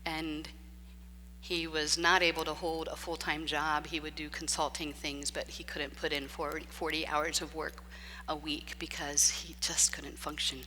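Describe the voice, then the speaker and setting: A woman talks at a moderate pace, and audible room echo hangs around her words. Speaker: preacher. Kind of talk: sermon. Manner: loud; talks nonstop.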